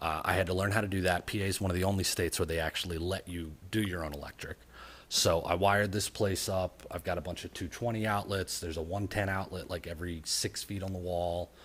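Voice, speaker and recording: The speech comes very fast in a monotone, flat intonation, on a very clean recording with a silent background. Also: man, very deep, low pitch for a man. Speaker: DIY car builder vlogger. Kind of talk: casual vlog narration. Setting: home garage. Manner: softly spoken at start.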